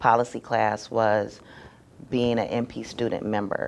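A woman with an American accent, very deep, low pitch, and a moderate pace. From Michigan. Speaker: nurse practitioner. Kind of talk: interview. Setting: at a conference.

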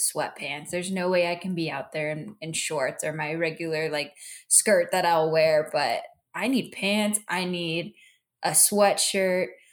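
This woman has a normal speaking voice, pitched at a medium level. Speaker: podcast host. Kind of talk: casual chat.

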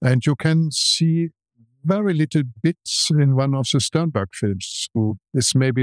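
Very slow speech in a German accent with ordinary pitch variation, in a very clean recording with a silent background and a dry, close sound with no echo. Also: man. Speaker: film museum director and film restorer. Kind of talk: interview.

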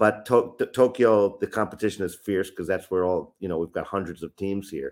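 A man talks in a plain, everyday voice with an American accent. His pitch is fairly low, with ordinary variation. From upstate New York, US. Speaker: youth soccer trainer and consultant. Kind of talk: interview. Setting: remote call.

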